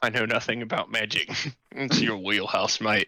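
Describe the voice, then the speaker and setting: Doing a put-on character voice, a raspy man at medium pitch talks at a moderate pace with fairly even intonation, recorded dry and close with no echo. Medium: actual play. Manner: dry, sarcastic.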